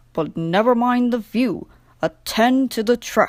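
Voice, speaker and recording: A woman's gruff, put-on character voice, fairly high in pitch and fairly slow, in a very clean recording with a silent background. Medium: read story. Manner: stolid, gruff.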